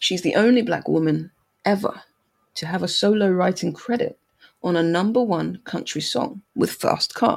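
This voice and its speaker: Her voice shows vocal fry as this woman speaks at a moderate pace with medium pitch and ordinary pitch variation. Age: 30s. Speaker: podcast host. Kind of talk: casual chat. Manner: animated.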